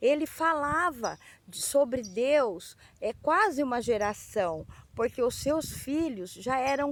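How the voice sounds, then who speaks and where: A woman's high-pitched voice at a very slow pace, with lively intonation. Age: 60s. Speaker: children's Bible storyteller. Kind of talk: Bible story for children. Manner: halting.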